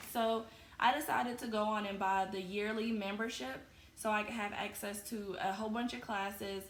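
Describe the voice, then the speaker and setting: A woman speaks at a moderate pace with a fairly high pitch and fairly even intonation. Room echo is audible, along with noticeable background noise. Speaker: crochet podcaster. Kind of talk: casual chat.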